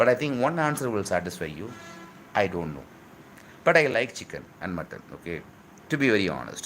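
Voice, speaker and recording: A man talks at a fairly quick pace in a fairly low pitch, with very wide pitch swings and big swings in loudness. His pauses are long and frequent. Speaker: spiritual YouTuber answering viewer questions. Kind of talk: live Q&A, casual chat. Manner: fast; halting, many repetitions and fillers.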